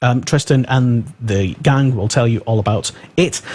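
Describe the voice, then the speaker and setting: A man speaks with an English accent and a dark, mellow tone. His voice is somewhat breathy. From England. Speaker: radio host. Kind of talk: live radio show chat. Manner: halting, many fillers.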